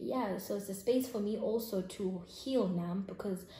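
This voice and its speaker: A woman speaks in a South African accent at a medium pitch, somewhat breathy. Audible room echo surrounds her voice. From South Africa, Eastern Cape (Grahamstown). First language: isiXhosa. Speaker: YouTuber. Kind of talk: casual vlog chat.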